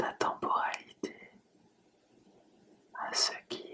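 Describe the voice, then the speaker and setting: A woman is whispering at a very slow pace. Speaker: hypnotherapist. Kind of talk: hypnosis relaxation session. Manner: whispered, soft, slow.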